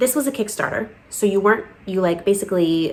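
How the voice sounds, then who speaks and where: A woman talks very fast in an animated tone amid noticeable background noise. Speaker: crochet podcast host. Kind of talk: casual chat.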